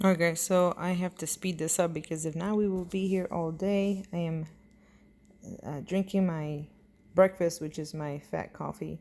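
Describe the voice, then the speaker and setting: Her dark, mellow voice, fairly low in pitch and flat in intonation, moves at a moderate pace in a Puerto Rican accent. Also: very clean recording, silent background. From Puerto Rico. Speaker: cooking vlogger. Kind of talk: cooking tutorial. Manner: casual, chatty.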